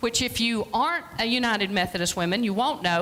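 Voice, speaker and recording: Noticeable background noise is present throughout. The voice rises and falls with lively intonation. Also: woman. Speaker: free clinic director, guest speaker. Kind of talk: church presentation talk. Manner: loud.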